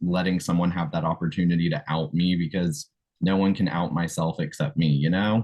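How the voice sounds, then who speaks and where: Speaking at a moderate pace with an American accent, a man with a very deep, low pitch keeps his loudness very even and his pitch variation ordinary. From South Carolina. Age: 20s. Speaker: political candidate. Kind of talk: interview answer.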